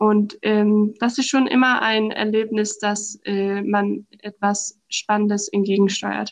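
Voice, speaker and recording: Very slow and monotone, a woman with a medium pitch talks at a very even loudness with hardly any pauses. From southern Denmark. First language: Danish (speaking German). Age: 20s. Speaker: law student, islands promotion worker. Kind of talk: interview.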